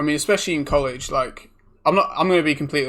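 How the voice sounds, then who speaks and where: Very fast speech from a man with a British accent, a fairly high pitch, a bright, sharp tone and ordinary pitch variation, on a very clean recording with a silent background. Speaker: podcast co-host. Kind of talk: casual chat.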